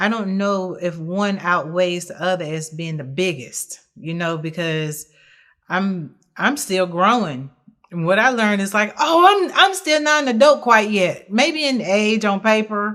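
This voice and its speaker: Loud and at a fairly slow pace, a woman with an American accent speaks at medium pitch with very wide pitch swings on a very clean recording with a silent background. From South Carolina. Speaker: interview guest. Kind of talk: podcast interview, personal testimony. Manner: naturally loud; hesitant, many fillers.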